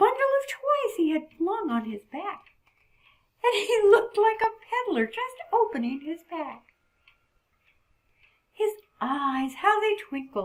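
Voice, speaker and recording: A female-sounding cartoonish character voice pitched extremely high swings very widely in pitch at a fairly slow pace, broken by long, frequent pauses. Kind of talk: poetry reading. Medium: puppet. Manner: warm, gentle.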